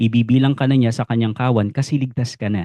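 A dark, mellow tone at a very fast pace, with a dry, close sound and no echo. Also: man. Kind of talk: Bible teaching explainer. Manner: polite, formal.

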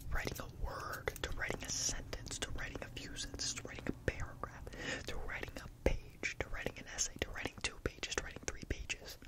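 Loud background noise fills the clip. A man speaks at a fairly quick pace. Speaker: ASMR creator playing a barber. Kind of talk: soft roleplay chat. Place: home room. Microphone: studio mic.

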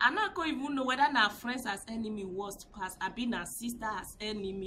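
With light background noise behind her, a woman talks using ordinary pitch variation. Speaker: vlogger. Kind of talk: casual vlog commentary. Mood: indignant, moralizing. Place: street. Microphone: phone near.

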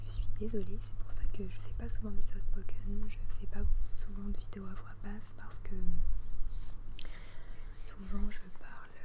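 A woman whispers in a calm tone, leaving long, frequent pauses. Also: fairly slow pace. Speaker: youtuber. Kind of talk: soft-spoken casual vlog chat. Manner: soft-spoken, low calm voice. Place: garden. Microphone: earbuds.

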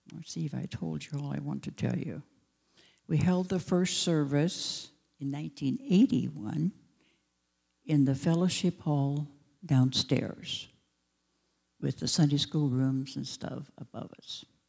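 A woman talks at a very slow pace, leaving long, frequent pauses. Her loudness swings widely against a quiet background. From Alaska, Matanuska valley; Alaska. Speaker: founding pastor's widow. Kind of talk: testimony. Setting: church. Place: church. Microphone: handheld.

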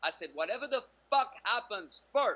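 The pace is fairly slow. The speaker is a man. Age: 40s. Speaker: dating coach. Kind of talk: interview. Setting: video call. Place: home room. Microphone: video call.

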